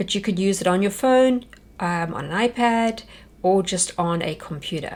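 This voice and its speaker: With a South African accent, a woman speaks at a medium pitch with ordinary pitch variation. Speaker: homeschool teacher. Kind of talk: workshop presentation.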